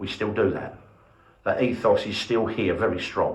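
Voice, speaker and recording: The voice is somewhat breathy and moves at a moderate pace, with audible room echo. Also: man. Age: 60s. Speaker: museum volunteer leader. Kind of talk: interview. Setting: heritage centre open day.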